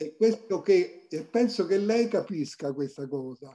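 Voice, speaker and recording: A man talks at a very slow pace in a high voice with a dark, mellow tone. His intonation is lively. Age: 80s+. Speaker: photographer. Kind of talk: interview.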